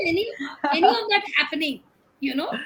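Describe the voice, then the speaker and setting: With lively intonation, a woman uses a raised, projected voice at an extremely high pitch. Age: old. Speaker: senior citizen panelist. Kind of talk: panel chat show interview.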